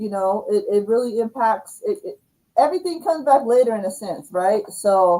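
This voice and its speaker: A loud woman's voice with a dark, mellow tone. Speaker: livestream host, YouTube coach. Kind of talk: casual livestream chat.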